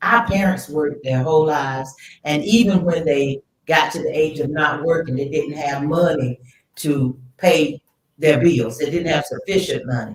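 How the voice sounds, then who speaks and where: With a very deep, low pitch and ordinary pitch variation, a woman talks at a moderate pace in a somewhat breathy voice. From US South. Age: 70s. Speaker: retired teacher. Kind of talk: testimony.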